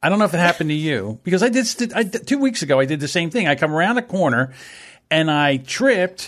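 Talking at a very fast pace with a strong New Jersey accent, a man swings his high pitch very widely. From South Jersey. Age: 50s. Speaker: podcast producer. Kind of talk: casual chat.

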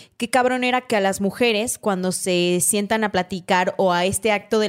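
On a very clean recording with a silent background, a woman with an unremarkable speaking voice talks at a moderate pace and medium pitch with ordinary pitch variation. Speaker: podcast host. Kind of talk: casual chat.

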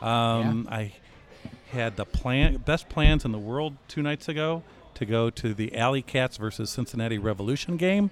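With an American accent, a man talks in a medium pitch with ordinary pitch variation. His pace is moderate, and there is noticeable background noise. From US Midwest, Chicago. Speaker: soccer club executive. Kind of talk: casual chat. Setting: pub.

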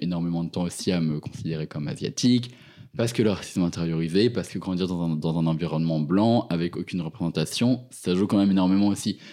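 Fairly quick speech in a dark, mellow tone, its pitch moving in an ordinary way. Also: man. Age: 20s. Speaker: university student. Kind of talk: interview. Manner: halting.

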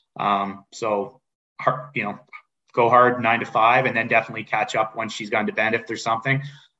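A man with a Canadian accent speaks at a fairly quick pace and a medium pitch. His tone is bright and sharp, and his intonation monotone and flat. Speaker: sports league executive. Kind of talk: interview.

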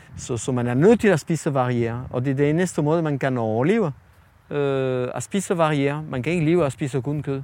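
This man has a fairly high pitch and a dark, mellow tone, speaking at a moderate pace with ordinary pitch variation. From France. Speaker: chef. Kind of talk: interview. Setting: outdoors. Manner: halting.

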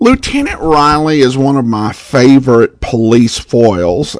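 Using an unremarkable speaking voice, a man with an American accent speaks fairly slowly at a medium pitch. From Boise, Idaho, US. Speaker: podcast host. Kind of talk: podcast intro and outro, casual announcements.

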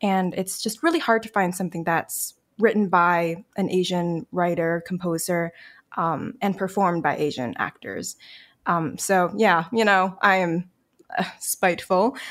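A woman at a medium pitch, with an ordinary speaking voice, ordinary pitch variation and a fairly slow pace. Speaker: singer songwriter. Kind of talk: casual podcast interview.

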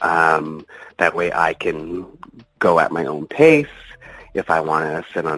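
Someone with a Canadian accent speaks against noticeable background noise. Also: man. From Ontario, Canada. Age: 30s. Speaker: adult film performer. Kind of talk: interview.

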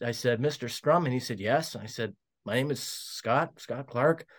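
Speaking with a Canadian Prairies accent, a man uses a medium pitch and ordinary pitch variation in a very clean recording with a silent background. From Saskatchewan, Canada (Regina). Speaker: former hockey team executive. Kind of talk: storytelling interview. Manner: hesitant, many fillers.

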